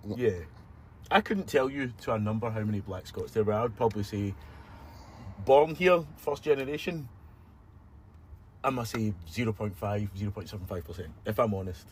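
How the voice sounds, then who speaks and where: Somewhat breathy and fairly low in pitch, a man speaks at a fairly quick pace with lively intonation. He leaves long, frequent pauses. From Scotland. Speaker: social media creator. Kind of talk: interview conversation; social media monologue.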